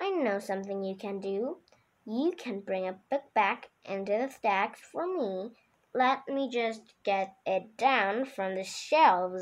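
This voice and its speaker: Putting on a character voice, a woman speaks fairly slowly at a medium pitch with lively intonation. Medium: read story. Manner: stern.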